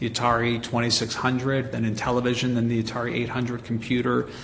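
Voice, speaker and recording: In a Montreal accent, the speaker talks very fast in a flat monotone. The room echo is audible, and background noise is noticeable. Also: man. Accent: Montreal English Canadian. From Canada, Montreal. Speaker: marketing agency president and author. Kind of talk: interview.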